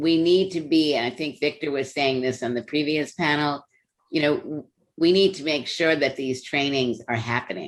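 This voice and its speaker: At a moderate pace, a woman speaks in a very deep, low voice with ordinary pitch variation. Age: 70s. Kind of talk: panel discussion.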